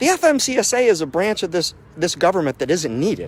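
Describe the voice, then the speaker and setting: A loud man with an American accent talks at a fairly quick pace in an animated tone. His pitch swings very widely. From US South, Mississippi (Biloxi). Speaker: owner-operator truck driver. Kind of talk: impassioned speech.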